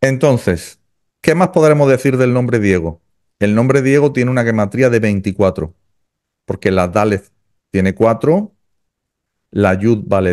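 Lively intonation over a quiet background. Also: man. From Andalusia, Spain. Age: 50s. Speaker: kabbalah teacher. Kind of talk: interview about kabbalah. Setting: video call. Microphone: studio mic.

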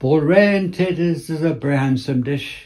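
Someone speaks with a Cornish accent at a moderate pace, with ordinary pitch variation. The tone is dark and mellow against a quiet background. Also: man. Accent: Cornish (West Cornwall). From Cornwall. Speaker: retired museum curator and dialect poet; dialect poet. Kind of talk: poetry reading. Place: home room. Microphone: phone near.

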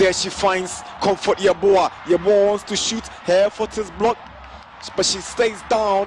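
Over noticeable background noise, a man with a high pitch speaks at a fairly slow pace in a monotone, flat intonation. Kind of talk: football commentary.

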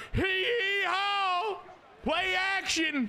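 A man with an American accent raises and projects his voice, his pitch swinging very widely. There is light background noise. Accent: Southern, he denies it. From Texas. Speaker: video game streamer. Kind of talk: casual live-stream gaming commentary. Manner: animated. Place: home room. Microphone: headset.

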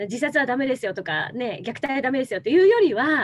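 Against a quiet background, a woman's voice swings very widely in pitch. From Tokyo. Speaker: former TV announcer, NPO leader. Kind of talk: interview answer. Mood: warm, smiling. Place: home room. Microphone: video call.

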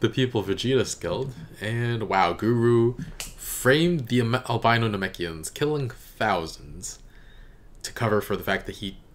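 A man speaking at a fairly slow pace. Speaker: reaction video host. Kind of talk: casual reaction commentary. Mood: amused, laughing. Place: home room. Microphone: studio mic.

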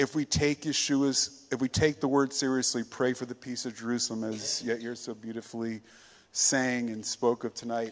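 The delivery moves at a moderate pace. Its intonation is flat and monotone. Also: man. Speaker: pastor. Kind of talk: prayer. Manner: formal. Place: church. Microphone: handheld.

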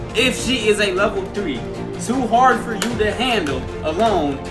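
A man speaks with clear music in the background. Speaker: youtuber. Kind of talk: casual vlog chat. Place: home room. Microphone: phone near.

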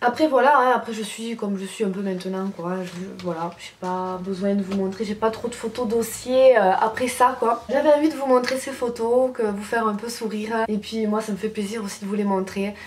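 At a moderate pace with hardly any pauses, a woman speaks at a fairly high pitch with ordinary pitch variation and big swings in loudness over light background noise. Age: 20s. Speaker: beauty YouTuber. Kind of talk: casual vlog. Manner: animated. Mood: cheerful, nostalgic. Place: home room. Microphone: camera far.

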